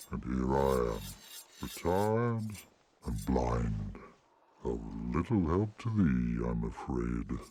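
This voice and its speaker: This man uses a put-on character voice, very deep and low in pitch. He talks at a fairly slow pace with long, frequent pauses. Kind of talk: archaic fantasy speech. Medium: video game. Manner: slow, measured, dignified.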